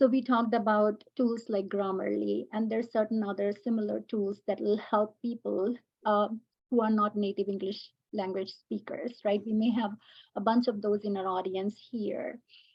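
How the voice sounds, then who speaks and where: With a fairly high, somewhat breathy voice, a woman speaks at a moderate pace in a flat, monotone way. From India. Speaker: educator and AI panelist. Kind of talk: panel discussion. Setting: webinar video call.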